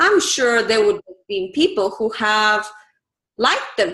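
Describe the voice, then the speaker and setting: Woman with a Bulgarian accent, raised and projected voice, very wide pitch swings. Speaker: live streaming specialist. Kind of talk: interview.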